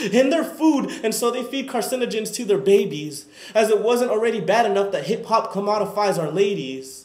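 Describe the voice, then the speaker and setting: The man talks fairly fast, his pitch moving in an ordinary way, while background noise is clearly noticeable. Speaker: student. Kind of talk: spoken word performance.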